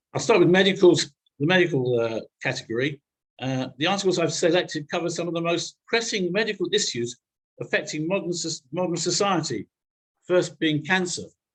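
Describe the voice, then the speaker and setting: This man's pitch is high for a man, with ordinary pitch variation. He speaks at a fairly quick pace. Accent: British. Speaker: newsletter editor, speaker. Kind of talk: presentation to a congregation. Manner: fast.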